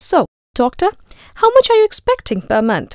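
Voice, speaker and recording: Putting on a squeaky character voice at an extremely high pitch, a woman speaks at a moderate pace in a dry, close recording with no echo. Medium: read story. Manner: brisk, businesslike.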